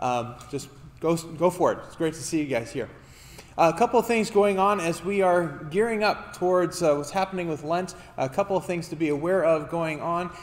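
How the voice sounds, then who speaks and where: A man's high-pitched voice with ordinary pitch variation. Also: moderate pace. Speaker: pastor. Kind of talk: church announcements. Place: church.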